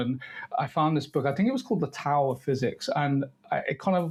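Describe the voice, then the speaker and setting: A man speaks at a fairly quick pace. His voice is fairly high and somewhat breathy. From Devon, southwest England. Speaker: writer and filmmaker. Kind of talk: interview conversation. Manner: halting, many fillers and repeats.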